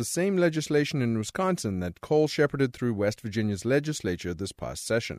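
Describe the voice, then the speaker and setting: A man with an ordinary speaking voice, medium in pitch, talks at a fairly quick pace with lively intonation, in a dry, close sound with no echo on a very clean recording with a silent background. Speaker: radio reporter. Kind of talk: news report narration.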